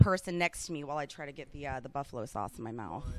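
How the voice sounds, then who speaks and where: The speaker has an American accent and an animated tone. The words come at a very fast pace. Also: woman. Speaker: radio host. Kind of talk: interview.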